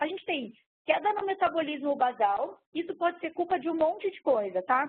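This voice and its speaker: Lively intonation runs through the speech. The woman's voice sits high in pitch. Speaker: sports nutritionist. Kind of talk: online lecture. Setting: speaking to a computer, webcast talk. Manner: fast.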